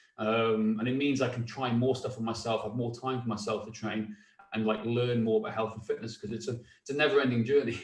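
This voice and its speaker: A man talks fairly quickly in a monotone, flat intonation while noticeable background noise carries on. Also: medium pitch for a man. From North Wales. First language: Welsh. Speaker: fitness coach, former police officer. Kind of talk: casual chat.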